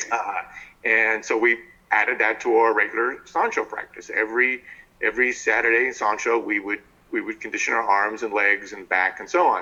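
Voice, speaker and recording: An American accent marks this man's unremarkable speaking voice. His pitch is medium. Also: fairly even intonation, fairly quick pace. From New Jersey, US. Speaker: martial arts teacher. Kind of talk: interview.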